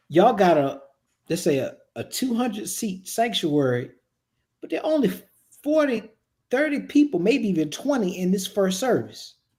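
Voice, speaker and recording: A man with a Virginia accent, high pitch, very wide pitch swings, a moderate pace and long, frequent pauses. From Virginia (Richmond). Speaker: production and staffing consultant for churches. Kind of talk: casual podcast conversation.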